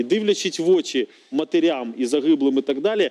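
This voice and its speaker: At a moderate pace, a man speaks at a fairly high pitch with very wide pitch swings. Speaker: member of parliament. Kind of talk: TV political debate. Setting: TV studio. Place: studio. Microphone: lapel.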